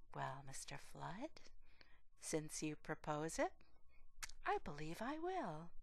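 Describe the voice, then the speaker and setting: Speaking at a fairly slow pace, a woman puts on a character voice. It sounds husky and shaky. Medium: read story.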